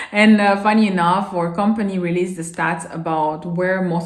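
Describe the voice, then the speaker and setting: In a room with audible echo, a woman with a non-native accent speaks at medium pitch and a moderate pace with ordinary pitch variation. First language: not English. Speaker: vlogger. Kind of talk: casual advice vlog. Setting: filming alone to camera. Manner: halting at times.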